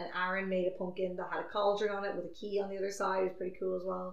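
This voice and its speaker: A woman with a medium-pitched voice talks while noticeable background noise runs underneath. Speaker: podcast host. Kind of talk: casual chat.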